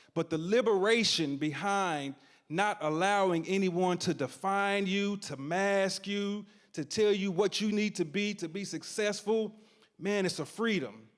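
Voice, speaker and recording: Recorded very cleanly against a silent background, a man with an East Tennessee accent speaks in a high pitch with ordinary pitch variation. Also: fairly slow pace. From East Tennessee, Knoxville. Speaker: storyteller, community organizer. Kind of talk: live storytelling performance. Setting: stage with audience. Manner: animated.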